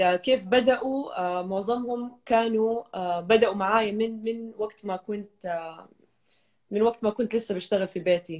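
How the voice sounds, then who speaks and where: Fairly slow, fairly evenly intoned speech from a woman against a quiet background. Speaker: fitness trainer. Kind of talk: interview. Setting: video call. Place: home room. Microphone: video call.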